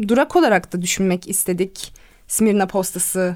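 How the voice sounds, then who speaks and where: In a very clean recording with a silent background, a woman speaks at a fairly slow pace with ordinary pitch variation in a normal speaking voice. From Izmir, Turkey. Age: 20s. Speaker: radio host. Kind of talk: casual chat.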